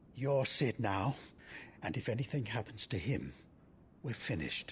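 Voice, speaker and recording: A man uses a put-on character voice at a medium pitch and a moderate pace. Background noise is clearly heard. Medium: video game. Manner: blunt, gruff.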